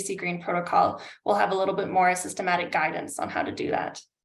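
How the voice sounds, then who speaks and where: A woman talks at a very fast pace with vocal fry. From Canada. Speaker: climate adaptation consultant. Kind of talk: webinar presentation.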